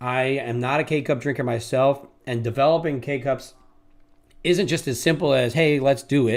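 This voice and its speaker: A man with a New York accent talks at a moderate pace and fairly even intonation. The recording is very clean, with a silent background. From New York City. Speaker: day trader, live streamer, former police officer. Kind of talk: live trading stream chat.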